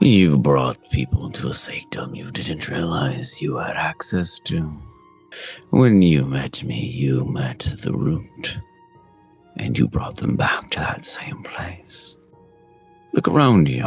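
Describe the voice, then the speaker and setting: A man performs a put-on character voice, very deep and low in pitch. He speaks at a fairly slow pace over faint background music. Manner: ominous.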